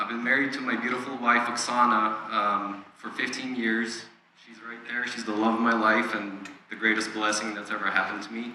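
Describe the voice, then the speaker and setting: Amid noticeable background noise and audible room echo, a man of medium pitch speaks in a flat monotone at a fairly quick pace, his loudness swinging widely. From Ukraine. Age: 40s. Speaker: church member sharing testimony. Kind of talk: testimony. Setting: church.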